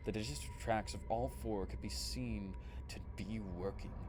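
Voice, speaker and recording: At a moderate pace, the voice shows vocal fry and very wide pitch swings. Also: man. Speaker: streamer reading creepypastas. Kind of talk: horror story narration.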